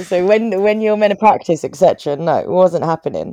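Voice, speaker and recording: With a London accent, the speaker has a dark, mellow tone, ordinary pitch variation and a fairly quick pace. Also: woman. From Croydon, south London. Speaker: charity chief executive. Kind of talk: interview.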